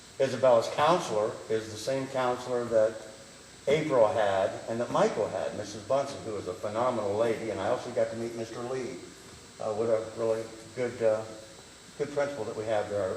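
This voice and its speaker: Amid noticeable background noise and audible room echo, a man speaks at a fairly quick pace in a medium pitch with fairly even intonation. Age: 60s. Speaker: city council member. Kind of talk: council meeting remarks.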